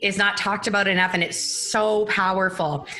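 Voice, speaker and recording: Audible room echo and clear background noise accompany a woman's speech. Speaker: Instagram marketing business founder. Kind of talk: casual interview. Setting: live stream. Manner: fast.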